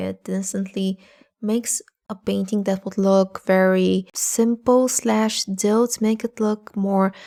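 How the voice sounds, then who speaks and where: A woman with a non-native accent and a dark, mellow tone speaks fairly slowly at medium pitch with fairly even intonation, in a very clean recording with a silent background. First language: not English. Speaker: art tutorial youtuber. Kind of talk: tutorial.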